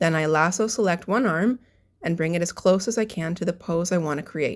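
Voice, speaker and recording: On a very clean recording with a silent background, a woman talks in an ordinary speaking voice, fairly low in pitch, with ordinary pitch variation. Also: fairly quick pace. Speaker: character designer and animation artist. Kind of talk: tutorial narration.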